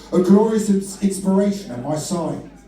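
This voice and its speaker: Noticeable background noise and audible room echo fill the recording. Through them, a man talks. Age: 60s. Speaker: performance poet. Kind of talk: spoken word performance between band sets. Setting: stage with audience at a music venue. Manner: animated, with hesitations in asides.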